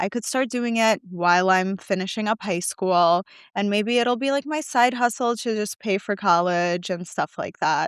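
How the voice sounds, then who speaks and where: A woman with an American accent has a plain, everyday voice, a fairly high pitch and lively intonation at a moderate pace. The recording is very clean with a silent background, and the sound is dry and close with no echo. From New York. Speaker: spray tan artist and founder. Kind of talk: casual interview chat.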